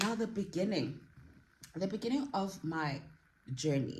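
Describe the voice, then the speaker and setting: The somewhat breathy voice is heard with audible room echo. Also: woman. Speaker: YouTube vlogger. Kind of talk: casual vlog talk.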